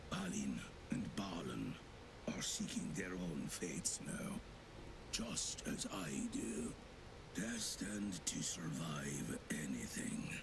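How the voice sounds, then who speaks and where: A man's put-on character voice at a very slow pace over loud background noise. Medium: game stream. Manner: solemn, grave.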